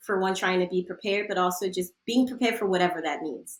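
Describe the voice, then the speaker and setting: A woman's voice at a medium pitch with ordinary pitch variation. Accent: American. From Philadelphia / South Jersey, US. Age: 40s. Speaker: sex educator. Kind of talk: podcast interview, casual chat. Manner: animated.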